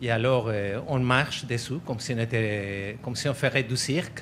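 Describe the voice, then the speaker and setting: At a fairly slow pace, a man with an unremarkable speaking voice talks at a medium pitch. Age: 60s. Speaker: slackline enthusiast. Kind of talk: interview.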